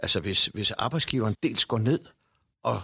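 A man at a moderate pace and fairly low pitch, dry and close with no echo, on a very clean recording with a silent background. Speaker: director of senior citizens' organisation. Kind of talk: discussion. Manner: hesitant with fillers.

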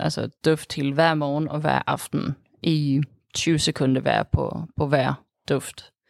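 A woman speaks with a very deep, low pitch. The sound is dry and close with no echo. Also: very clean recording, silent background. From Sweden. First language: Swedish (speaking Danish). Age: 20s. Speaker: student, interviewee. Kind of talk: interview. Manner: halting, many fillers.

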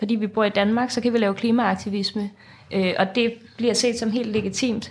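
A woman speaks at a moderate pace in a flat monotone. Her pitch is fairly high, and her voice is somewhat breathy. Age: 20s. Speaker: student and climate activist. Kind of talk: interview. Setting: studio.

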